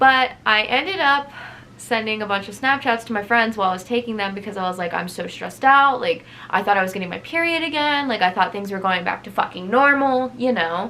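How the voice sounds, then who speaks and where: In a plain, everyday voice, a woman speaks at a fairly quick pace with lively intonation. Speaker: vlogger. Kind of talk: personal vlog testimony.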